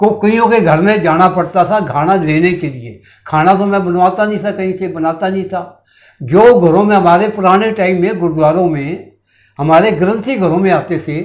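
A man talks with a high pitch and ordinary pitch variation at a fairly slow pace. The background is quiet. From Shimla, Himachal Pradesh, India; Himachal Pradesh, India. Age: 70s. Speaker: retired air force veteran, writer and social worker; interview guest. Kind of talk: interview. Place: studio. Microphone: lapel.

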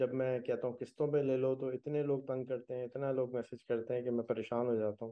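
The man's intonation stays flat and monotone. He talks at a moderate pace. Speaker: podcast host. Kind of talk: podcast introduction. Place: home room. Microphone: video call.

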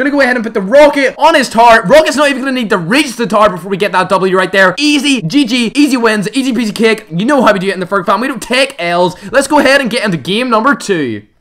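A man with an extremely high pitch, an animated tone and lively intonation, at a very fast pace with hardly any pauses, over noticeable background noise. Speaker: gaming YouTuber. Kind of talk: live gameplay commentary. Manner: loud.

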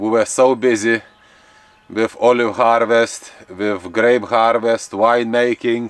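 Dry sound with no echo around a man's speech. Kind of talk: casual vlog chat. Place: garden. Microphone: camera far.

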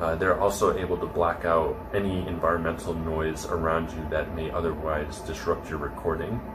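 Over clear background noise, a man talks at low pitch and a moderate pace with little pitch movement.

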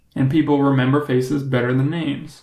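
Speaking fairly quickly with fairly even intonation, a man has a plain, everyday voice set at a fairly high pitch. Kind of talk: comedic storytelling monologue.

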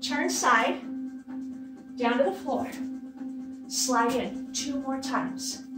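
A woman at a very slow pace, with clear music in the background and audible room echo. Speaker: fitness instructor. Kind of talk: workout instruction cues. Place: home room. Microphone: camera far.

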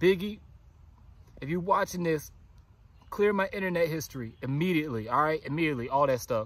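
This man talks at a very fast pace with ordinary pitch variation. The sound is dry, with no echo. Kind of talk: acted found-footage confession. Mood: panicked, remorseful, comic. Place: forest. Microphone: phone near.

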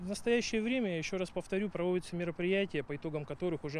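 Speech comes at a very fast pace with fairly even intonation. Faint background noise sits under the voice. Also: man.

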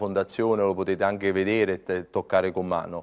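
Speaking at a fairly quick pace is a man. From Naples, Italy; Italy. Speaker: priest running a children's foundation. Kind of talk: TV interview. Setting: TV studio. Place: studio.

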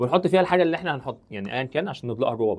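In a Cairo accent, the speaker sounds animated, with very wide pitch swings. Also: man. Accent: Egyptian Arabic (Cairene). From Egypt. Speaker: chemistry teacher. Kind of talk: lecture. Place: studio. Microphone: lapel.

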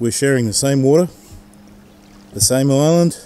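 A man at a medium pitch and moderate pace, with ordinary pitch variation and a dark, mellow tone

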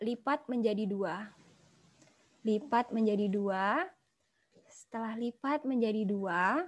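Speaking at a very slow pace, a woman leaves long, frequent pauses. Her pitch is fairly high with ordinary variation, and the background is quiet. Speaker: pharmaceutical marketing executive; guest lecturer. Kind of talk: guest lecture. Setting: video call. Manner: animated. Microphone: video call.

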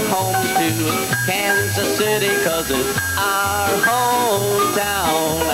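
Loud background noise is present. Over it, a man talks. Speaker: square dance caller. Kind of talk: square dance calling rhythmic to music. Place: hall. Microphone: handheld.

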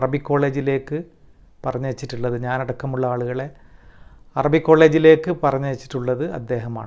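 A man talks with a mostly level intonation in a quiet setting. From Kerala. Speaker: former student, community member; interviewee. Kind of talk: testimony. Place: home room. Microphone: lapel.

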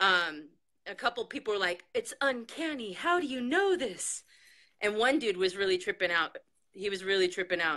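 A woman speaks with lively intonation at a moderate pace. The background stays quiet. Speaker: psychic reader; radio guest. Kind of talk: casual chat. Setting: video call. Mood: upbeat, storytelling. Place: home room. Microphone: video call.

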